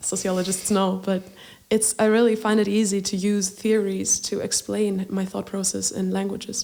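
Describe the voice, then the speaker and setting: A woman speaks at a moderate pace in a dark, mellow tone with flat, monotone intonation, recorded very cleanly against a silent background. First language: Greek. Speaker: singer-songwriter. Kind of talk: podcast interview.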